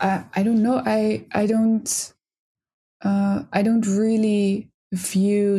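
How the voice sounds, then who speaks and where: A woman speaks very slowly with a Dutch accent, her dark, mellow tone somewhat breathy. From Netherlands. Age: 20s. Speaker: psychology student. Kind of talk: casual chat.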